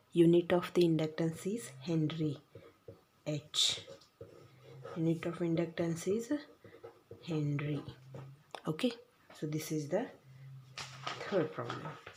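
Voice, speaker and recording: Speaking at a fairly slow pace, a woman with a fairly low, somewhat breathy voice uses ordinary pitch variation and leaves long, frequent pauses. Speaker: physics teacher. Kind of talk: lecture. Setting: recorded video lesson.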